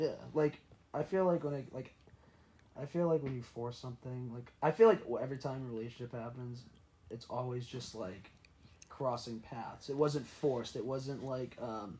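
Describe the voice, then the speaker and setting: A loud male voice at a moderate pace. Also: medium pitch for a man, ordinary pitch variation. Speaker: podcast guest, former college baseball pitcher. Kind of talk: casual chat.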